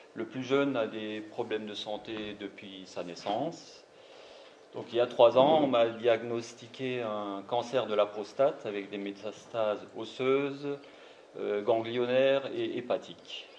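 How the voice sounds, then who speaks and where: Over noticeable background noise, a man speaks very slowly at a medium pitch with fairly even intonation. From Alsace, France (Marmoutier, near Saverne). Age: 50s. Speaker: cancer patient. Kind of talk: testimony.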